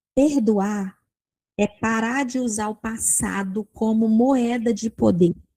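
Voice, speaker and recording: Somewhat breathy and dark, mellow in tone, this woman has a fairly high pitch with ordinary pitch variation. Her sound is dry and close with no echo. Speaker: Bible teacher. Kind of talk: Bible study teaching. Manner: animated.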